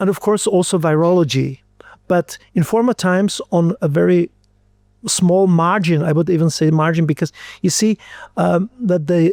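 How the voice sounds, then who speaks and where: A man with an Austrian accent speaks at a high pitch and moderate pace, with ordinary pitch variation. The recording is dry and close, with no echo. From Austria, Styria. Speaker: physician and microbiologist. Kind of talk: interview. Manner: halting, many fillers and repetitions.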